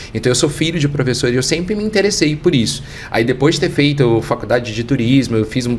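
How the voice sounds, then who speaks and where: A man speaks at a very fast pace. Noticeable background noise can be heard. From Brazil, Minas Gerais. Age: 40s. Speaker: international education expert. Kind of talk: interview.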